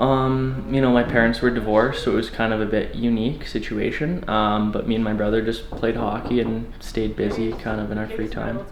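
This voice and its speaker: A man's medium-pitched voice with a Canadian accent, monotone and flat at a fairly quick pace, with audible room echo and noticeable background noise. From western Canada (Calgary, Alberta). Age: 20s. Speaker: door-to-door salesman, former hockey player. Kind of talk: documentary interview. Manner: casual, filler-heavy.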